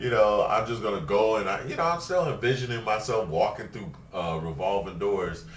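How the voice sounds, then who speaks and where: Against noticeable background noise and audible room echo, a man with a fairly low voice talks with hardly any pauses and very wide pitch swings. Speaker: video blogger. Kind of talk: casual vlog monologue. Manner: halting, many fillers.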